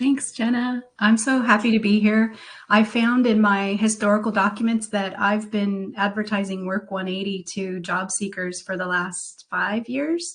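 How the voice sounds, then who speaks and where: Talking at a fairly slow pace with hardly any pauses, a woman with an American accent uses a medium, somewhat breathy voice and ordinary pitch variation. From United States. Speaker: career coach. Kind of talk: webinar presentation.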